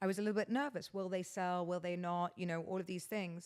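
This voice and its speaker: In a British accent, a woman speaks at medium pitch and a fairly quick pace with ordinary pitch variation, on a very clean recording with a silent background. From England. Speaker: podcast host. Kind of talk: casual chat. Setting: guest's house.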